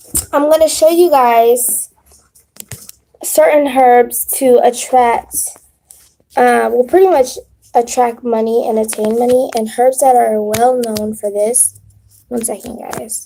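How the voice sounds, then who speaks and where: Speaking at a very slow pace with long, frequent pauses, a woman uses a high pitch with ordinary pitch variation. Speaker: spiritual content creator. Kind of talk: live stream tutorial. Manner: stuttering; casual.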